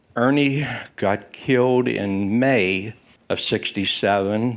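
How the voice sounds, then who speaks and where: Fairly even intonation from a man. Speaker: Marine Corps Vietnam veteran. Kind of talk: personal war testimony. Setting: live event with audience.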